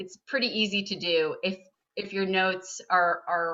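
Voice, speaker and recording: A woman with an American accent. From California, San Francisco. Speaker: nonfiction writer. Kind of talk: interview with school class. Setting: video call.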